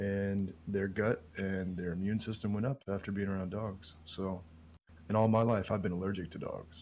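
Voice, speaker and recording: Quietly and at a moderate pace, a man speaks with a fairly low pitch and fairly even intonation. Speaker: podcast guest. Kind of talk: casual chat.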